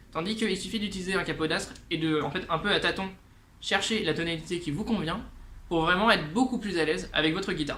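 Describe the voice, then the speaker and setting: A man at a high pitch with ordinary pitch variation at a very fast pace, amid noticeable background noise and audible room echo. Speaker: guitar teacher and musician. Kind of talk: tutorial. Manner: casual, many hesitations.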